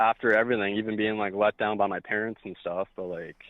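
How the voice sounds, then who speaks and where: The speaker is male. He talks at a fairly quick pace. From Canada. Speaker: caller. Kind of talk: casual chat. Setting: phone call.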